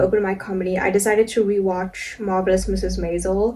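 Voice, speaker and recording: Soft-spoken and at a fairly quick pace, a woman talks over noticeable background noise. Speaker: vlogger and amateur comedian. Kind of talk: casual vlog monologue. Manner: casual, filler-heavy.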